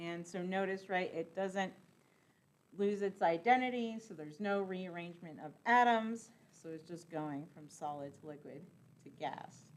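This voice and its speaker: A plain, everyday voice at a moderate pace, with ordinary pitch variation and big swings in loudness. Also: woman, medium pitch for a woman. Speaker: chemistry lecturer. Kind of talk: lecture. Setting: classroom.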